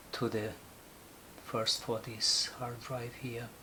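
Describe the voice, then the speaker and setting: There is noticeable background noise and audible room echo around a man speaking at medium pitch. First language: Portuguese. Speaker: photographer. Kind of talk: tutorial. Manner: halting, many fillers.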